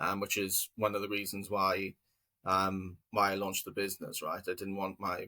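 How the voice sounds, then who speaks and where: A man's bright, sharp tone at a fairly low pitch. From Wales, South Wales Valleys. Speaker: business co-founder. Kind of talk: interview. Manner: halting, many fillers and repetitions.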